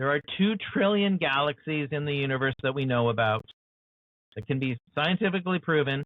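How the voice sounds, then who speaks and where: With an American accent and an ordinary speaking voice, a man talks at a moderate pace, his fairly high pitch carrying lively intonation. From USA. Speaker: author and show host. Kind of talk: interview conversation.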